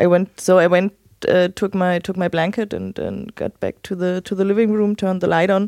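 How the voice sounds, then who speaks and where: A woman with a German accent at a moderate pace, in a dry, close sound with no echo. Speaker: host's wife. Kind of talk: casual chat.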